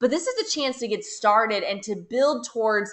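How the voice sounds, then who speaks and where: A woman speaks at a fairly high pitch. She has a normal speaking voice. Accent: American. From USA. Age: 30s. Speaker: network marketing leader. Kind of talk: webinar sales pitch.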